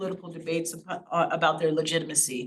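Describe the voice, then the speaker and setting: A woman speaks fairly quickly in a fairly low voice. Her intonation stays fairly even. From Laurel, Maryland, US, with childhood time in Haiti. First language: Haitian Creole. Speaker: invited speaker, educator. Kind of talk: presentation to an audience.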